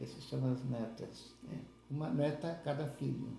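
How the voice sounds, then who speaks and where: With a dark, mellow tone and medium pitch, a man speaks at a very slow pace, somewhat breathy, amid audible room echo. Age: 70s. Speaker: retired farmer and lay church leader. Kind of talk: interview, life story. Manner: halting, with fillers and repetitions.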